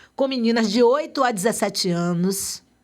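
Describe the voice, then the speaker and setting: Her voice is high-pitched, and she is a woman with lively intonation. The recording is very clean, with a silent background. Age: 60s. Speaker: activist. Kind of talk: interview.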